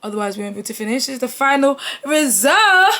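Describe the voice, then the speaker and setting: Over noticeable background noise, a woman talks at a very fast pace in an animated tone. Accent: London. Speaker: youtuber. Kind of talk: storytime.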